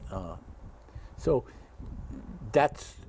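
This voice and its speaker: A man with a Dutch accent speaks at a very slow pace. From Belgium. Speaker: war survivor. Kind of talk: interview.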